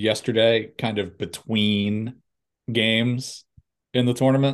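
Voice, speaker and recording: A man's medium-pitched, an unremarkable speaking voice with fairly even intonation. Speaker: golf podcast co-host. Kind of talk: casual chat.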